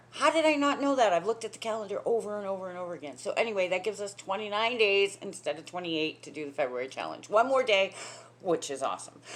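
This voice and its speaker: A woman at a medium pitch speaks at a very fast pace in an animated tone. Her pitch swings very widely. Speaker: spiritual coach. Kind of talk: casual talk to camera.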